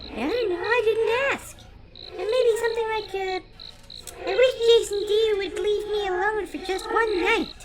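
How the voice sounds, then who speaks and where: A woman uses a squeaky, put-on character voice at an extremely high pitch. She talks at a moderate pace over light background noise. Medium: audio drama.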